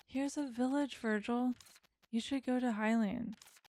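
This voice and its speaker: A soft-spoken woman talks at a moderate pace in a high pitch, her calm, dark, mellow tone carried by fairly even intonation. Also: very even loudness. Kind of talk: gentle gameplay commentary. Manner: soft-spoken, calm.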